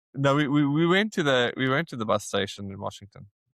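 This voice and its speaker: Over a very clean recording with a silent background, a man with a South African accent talks at a moderate pace with ordinary pitch variation. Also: dry, close sound with no echo. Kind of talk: interview answer. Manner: casual storytelling.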